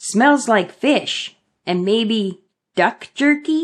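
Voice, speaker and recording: Speaking very slowly, a female-sounding put-on character voice sits fairly high in pitch. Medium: read story. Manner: eager, curious.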